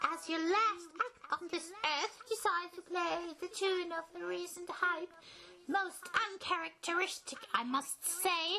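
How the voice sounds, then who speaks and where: The put-on character voice is squeaky and pitched extremely high. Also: fairly slow pace. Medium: comedy sketch. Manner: condescending, taunting.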